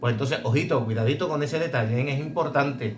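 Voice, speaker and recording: A man at a fairly quick pace with ordinary pitch variation, over light background noise. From Andalusia, Bay of Cádiz. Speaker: blade sharpener for dog grooming clippers. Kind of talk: casual tutorial video. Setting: workshop. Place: workshop. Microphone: phone near.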